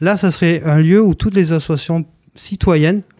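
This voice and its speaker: On a very clean recording with a silent background, this man has a dark, mellow tone. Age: 40s. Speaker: municipal election candidate. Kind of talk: radio interview. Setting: radio studio, broadcast live. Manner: halting, with many repetitions.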